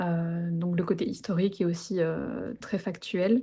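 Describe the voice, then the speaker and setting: A somewhat breathy woman's voice at a fairly slow pace, with fairly even intonation. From Belgium. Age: 20s. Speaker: interviewee, book lover in career change. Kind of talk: casual interview conversation. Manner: hesitant, many fillers.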